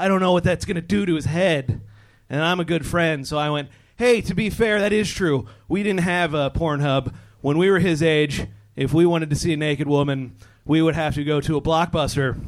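With an American accent, a man talks at a fairly quick pace in an unremarkable speaking voice, his fairly high pitch showing ordinary variation. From US Southwest. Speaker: stand-up comedian. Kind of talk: stand-up. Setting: stage with audience.

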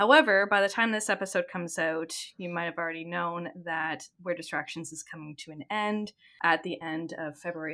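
A woman with a Canadian accent and a normal speaking voice talks at a moderate pace in a fairly low pitch, recorded very cleanly with a silent background. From Ontario, Canada. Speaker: podcast host. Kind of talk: casual chat, game show.

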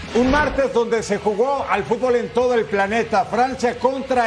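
At a moderate pace and with ordinary pitch variation, the speech comes over noticeable background noise. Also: man. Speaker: sports radio host. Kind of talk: sports commentary and show hosting.

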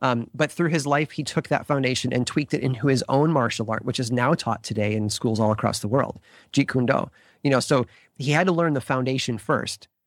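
A man's unremarkable speaking voice, medium in pitch with ordinary variation, at a fairly quick pace, in a dry, close sound with no echo. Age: 40s. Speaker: podcast creator and writer. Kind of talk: interview.

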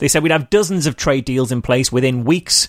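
A man speaks with a Merseyside accent. His pitch varies in an ordinary way. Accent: northern English (Merseyside). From northern England. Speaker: skeptic activist and podcaster. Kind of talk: casual chat. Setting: call.

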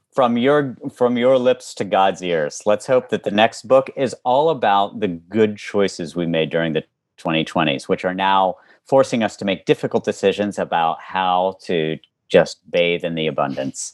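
A man with an American accent talks at a moderate pace in an ordinary speaking voice, fairly low in pitch with lively intonation. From West Virginia. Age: 40s. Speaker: author and former public servant. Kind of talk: interview conversation.

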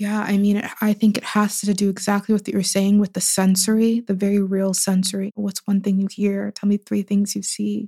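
A woman with an American accent and a somewhat breathy, medium-pitched voice speaks at a moderate pace with hardly any pauses and monotone, flat intonation, in a dry, close sound with no echo. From US, Pittsburgh. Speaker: writer and poet. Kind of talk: interview conversation.

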